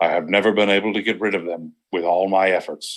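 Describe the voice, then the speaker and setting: Putting on a character voice, a man sounds strained, speaking fairly quickly in a fairly low pitch with monotone, flat intonation. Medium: read story. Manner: tense, formal, restrained.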